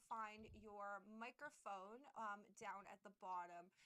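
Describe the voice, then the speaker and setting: The woman's tone is bright and sharp. She talks loudly. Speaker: streamer. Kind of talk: tutorial. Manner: halting.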